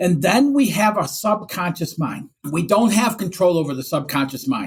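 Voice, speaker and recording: Moving at a moderate pace, a man with a Michigan accent speaks in a high pitch with very wide pitch swings. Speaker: business and life coach. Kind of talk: podcast interview.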